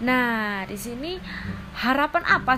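Using a raised, projected voice with a bright, sharp tone, a woman speaks at a very slow pace. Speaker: university student presenting a group assignment. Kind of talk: tutorial. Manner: casual.

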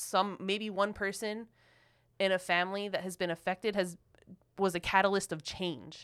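In a Philadelphia accent, a woman speaks with monotone, flat intonation. The recording is very clean, with a silent background. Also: medium pitch for a woman, moderate pace. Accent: Philadelphia American English. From Philadelphia, US. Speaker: podcast co-host. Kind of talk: casual chat. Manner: emotional, impassioned.

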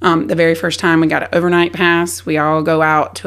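Here a woman talks in a fairly low voice with a Southern US accent. Her intonation stays fairly even. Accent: Southern US, noticeable. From South Carolina. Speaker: army spouse and veteran. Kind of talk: casual interview storytelling.

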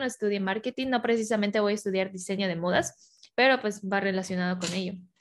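With fairly even intonation, a woman of medium pitch speaks at a fairly quick pace. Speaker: podcast host. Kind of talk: casual chat.

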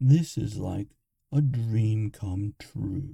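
A put-on character voice drawls along at a fairly slow pace. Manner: sarcastic, drawling.

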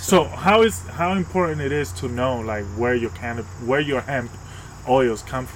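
Through noticeable background noise, a man speaks with very wide pitch swings. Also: medium pitch for a man, moderate pace. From Dominican. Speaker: podcast co-host. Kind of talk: casual interview.

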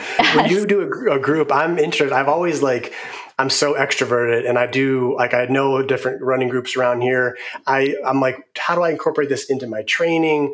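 A man speaks at a fairly quick pace with a fairly high pitch, ordinary pitch variation and very even loudness, over noticeable background noise. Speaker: podcast host and physical therapist. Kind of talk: casual interview conversation.

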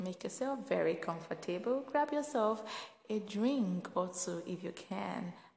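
A woman speaks with vocal fry. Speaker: podcast host. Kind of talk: inspirational faith podcast talk. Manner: soft-spoken.

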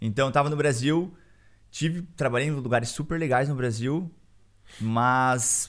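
A man at a moderate pace, slight Curitiba accent, ordinary pitch variation, on a very clean recording with a silent background. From Brazil, Curitiba. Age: 20s. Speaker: Brazilian immigrant. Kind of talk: casual chat.

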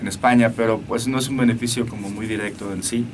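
Noticeable background noise and audible room echo surround the voice. A man speaks at a medium pitch with fairly even intonation. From Mexico, Aguascalientes. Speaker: musician. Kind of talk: interview. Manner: halting.

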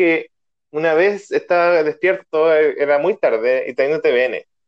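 Speaking very slowly with a Chilean accent, a man uses a fairly high pitch and ordinary pitch variation. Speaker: podcast host. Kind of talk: casual chat. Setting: video call.

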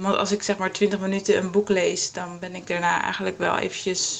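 The woman talks at a moderate pace. Noticeable background noise sits under her voice. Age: 20s. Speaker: yoga teacher with a visual impairment. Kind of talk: testimony.

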